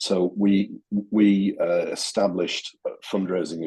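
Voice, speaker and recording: A man speaks with a Yorkshire accent. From Yorkshire, England. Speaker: newly elected charity trustee, bereaved parent. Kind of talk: self-introduction at online meeting. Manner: hesitant, many fillers.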